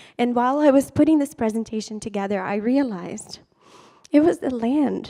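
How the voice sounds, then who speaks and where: A woman speaks at a moderate pace and a fairly high pitch. Her tone is dark and mellow. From Brazil. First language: Portuguese. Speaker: storyteller. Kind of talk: personal storytelling talk. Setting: stage with audience.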